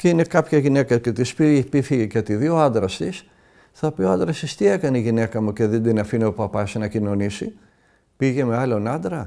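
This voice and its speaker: A man with a dark, mellow tone talks at a moderate pace with lively intonation in a very clean recording with a silent background. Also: medium pitch for a man. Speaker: Orthodox monastic elder from Mount Athos giving a talk. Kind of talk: religious talk answering a listener's question.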